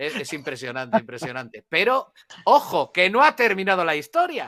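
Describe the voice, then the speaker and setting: A man with a Spanish accent speaks in a high, bright, sharp voice, with very wide pitch swings, big swings in loudness and a dry, close sound with no echo. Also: moderate pace. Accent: Peninsular Spanish. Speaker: journalist and history expert. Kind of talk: live conversational history discussion. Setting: live online audio broadcast. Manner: halting, many repetitions and fillers.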